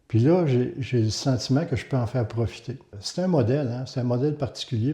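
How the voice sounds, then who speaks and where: The voice is dark and mellow, somewhat breathy, at a fairly quick pace with ordinary pitch variation. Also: man, medium pitch for a man. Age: 60s. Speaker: community housing director. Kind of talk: testimony.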